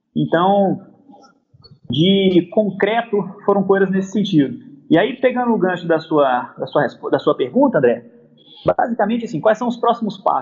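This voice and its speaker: The intonation here is lively. The pace stays moderate. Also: man. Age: 30s. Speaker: football club marketing director. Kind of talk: interview. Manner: halting, with repetitions.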